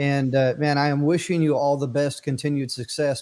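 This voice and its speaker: A man with an unremarkable speaking voice talks at a fairly quick pace in a fairly high pitch. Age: 50s. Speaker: podcast host. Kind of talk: casual chat.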